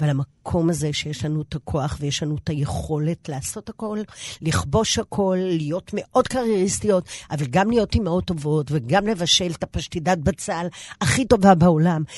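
Over a quiet background, a woman with a normal speaking voice talks at a fairly slow pace with lively intonation. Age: 60s. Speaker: pilates instructor, former TV fitness presenter. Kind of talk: interview.

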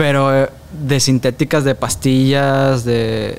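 A man's medium-pitched voice at a very slow pace, with fairly even intonation. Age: 20s. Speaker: former TV show performer and actor. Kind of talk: interview.

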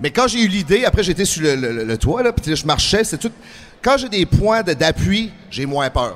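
A man speaks at a moderate pace in a high pitch. His pitch swings very widely. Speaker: professional wrestler and actor. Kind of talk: interview.

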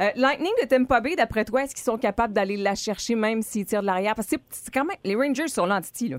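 Very fast and with hardly any pauses, a woman with a fairly high pitch talks with lively intonation and big swings in loudness. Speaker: radio host. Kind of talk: casual morning radio banter. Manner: animated.

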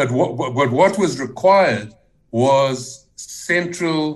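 A man talks at a very slow pace in a somewhat breathy voice. The room adds audible echo. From South Africa, Johannesburg. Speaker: NGO founder and chief executive. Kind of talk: radio interview. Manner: halting.

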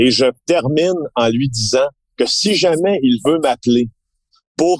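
A man's normal speaking voice, fairly slow, with ordinary pitch variation and a dry, close sound free of echo. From Quebec, Abitibi-Témiscamingue. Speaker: investigative journalist. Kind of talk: casual interview chat.

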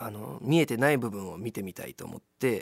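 A man's normal speaking voice at a fairly quick pace with lively intonation, dry and close with no echo, in a very clean recording with a silent background. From Kobe, Japan. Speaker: actor and musician. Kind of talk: radio interview.

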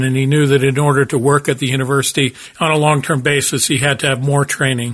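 Somewhat breathy, a man with an American accent talks at a fairly high pitch and a fairly quick pace. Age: 60s. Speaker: business professor and podcast host. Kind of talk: solo podcast monologue, storytelling.

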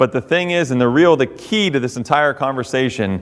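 A man with a normal speaking voice, medium pitch, lively intonation and a moderate pace. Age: 30s. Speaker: firefighter. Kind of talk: speech. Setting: hall with audience.

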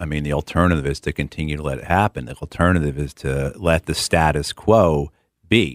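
Recorded very cleanly against a silent background, a man with a very deep, low voice and vocal fry talks at a fairly quick pace in a dry, close sound with no echo. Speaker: political candidate. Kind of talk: radio interview. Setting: studio.

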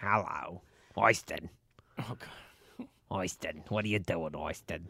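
Someone uses a raspy, put-on character voice with a low pitch, talking at a fairly slow pace. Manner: mock, sing-song greeting.

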